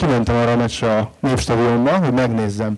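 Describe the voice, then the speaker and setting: At a moderate pace, a man speaks in an unremarkable speaking voice with a medium pitch and fairly even intonation. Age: 40s. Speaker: writer. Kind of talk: panel discussion.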